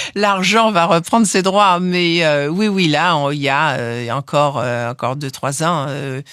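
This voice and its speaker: The speaker talks at a fairly slow pace. There are hardly any pauses. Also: woman, very deep, low pitch for a woman, lively intonation. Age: 70s. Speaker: foundation head, scientist's daughter. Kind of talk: interview. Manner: halting, many fillers and repeats.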